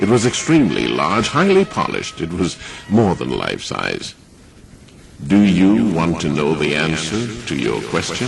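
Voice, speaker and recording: A man's very deep, low voice moves through very wide pitch swings. Background noise is noticeable. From Trinidad. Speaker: broadcaster.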